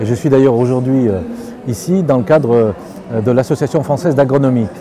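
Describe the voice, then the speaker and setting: Delivered at a very fast pace with lively intonation, the speech sits over noticeable background noise. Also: man. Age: 60s. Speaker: farmer. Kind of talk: interview. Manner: hesitant, with many fillers and repetitions.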